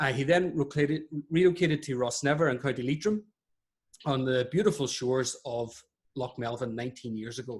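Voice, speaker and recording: Somewhat breathy and medium in pitch, a man talks at a fairly quick pace. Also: ordinary pitch variation. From Ireland. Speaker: webinar host, podiatrist. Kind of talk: webinar interview introduction. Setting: online webinar.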